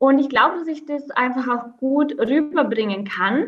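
The speaker is a woman at a moderate pace. Her voice is high-pitched. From Austria, Vorarlberg near Swiss border. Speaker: entrepreneur and mother. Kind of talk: interview.

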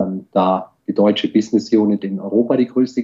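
Dark and mellow in tone, a man speaks at a fairly low pitch with ordinary pitch variation. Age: 40s. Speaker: IT security executive. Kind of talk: interview. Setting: video call.

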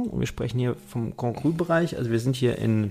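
Speaking at a moderate pace, a man with a medium pitch and a dark, mellow tone sounds somewhat breathy, his intonation lively. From western Germany (Rheingau and Mosel). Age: 30s. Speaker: wine merchant and wine magazine publisher. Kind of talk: casual interview conversation. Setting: studio. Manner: hesitant, many fillers.

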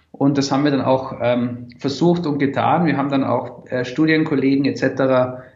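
A man's monotone, flat delivery in a room with audible echo. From Austria, Tyrol. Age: 20s. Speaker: startup founder. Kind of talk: interview.

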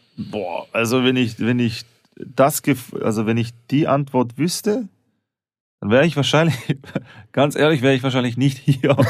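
Pauses are long and frequent as a man talks at a moderate pace. His pitch is medium, with ordinary variation. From St. Gallen, Switzerland. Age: 30s. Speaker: stand-up comedian and actor. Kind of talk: casual banter, comedy podcast.

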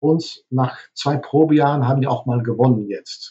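Somewhat breathy, a man with a Dutch accent talks at a fairly slow pace with fairly even intonation. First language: Dutch (speaking German). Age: 50s. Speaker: hotelier. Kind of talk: interview. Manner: halting, many fillers.

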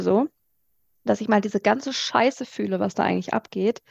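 The voice shows vocal fry and ordinary pitch variation at a moderate pace. The sound is dry and close, with no echo. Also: woman. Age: 30s. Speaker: podcast co-host and coach. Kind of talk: casual chat.

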